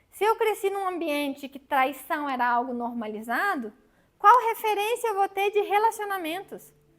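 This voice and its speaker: The speaking pace is moderate. Pitch rises and falls very widely. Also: woman. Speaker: psychologist. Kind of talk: lecture.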